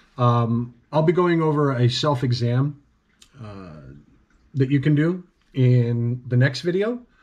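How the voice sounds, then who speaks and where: A man at a very slow pace, with long, frequent pauses, ordinary pitch variation and a quiet background. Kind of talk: personal video update. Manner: halting, many fillers. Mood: earnest, serious. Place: home room. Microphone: webcam.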